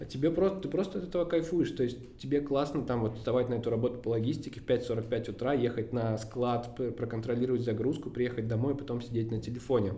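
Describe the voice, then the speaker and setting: Speaking at a very fast pace, a man keeps a medium pitch with ordinary pitch variation. Audible room echo and noticeable background noise fill the recording. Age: 20s. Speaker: agency CEO. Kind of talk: interview.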